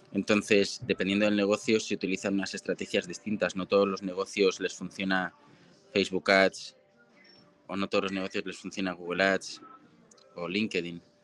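Music plays in the background as a man talks at a moderate pace. His fairly low voice is monotone and flat, with a dry, close sound and no echo. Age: 30s. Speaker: marketing agency founder. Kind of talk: interview. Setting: live stream.

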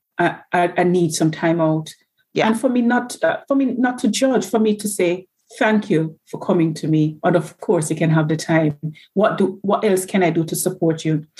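A somewhat breathy woman's voice, fairly low in pitch, at a moderate pace. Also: ordinary pitch variation. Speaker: nurse. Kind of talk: casual interview.

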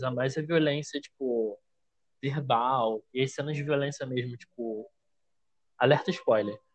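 In a normal speaking voice, a man talks at a moderate pace and a fairly high pitch with ordinary pitch variation, the sound dry and close with no echo. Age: 20s. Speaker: author and editorial assistant. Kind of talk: casual chat. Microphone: bad internet connection.

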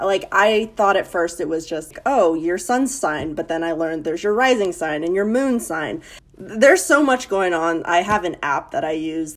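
A woman with an ordinary speaking voice, medium in pitch and lively in intonation. She talks at a moderate pace with hardly any pauses. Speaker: podcast guest. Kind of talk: casual chat.

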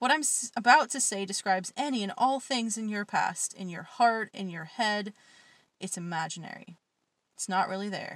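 A woman speaks in a normal speaking voice at medium pitch and a moderate pace, with ordinary pitch variation. Her loudness swings widely, and the recording is very clean with a silent background. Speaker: podcast host and poet. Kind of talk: poetry reading, spoken word. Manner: dark, intense, raw, cutting delivery in the poems; self-deprecating, casual chat between poems.

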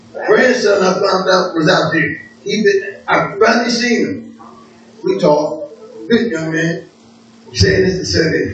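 Over noticeable background noise and audible room echo, a high-pitched man speaks with lively intonation at a fairly slow pace, leaving long, frequent pauses. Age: 60s. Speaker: preacher. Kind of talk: sermon.

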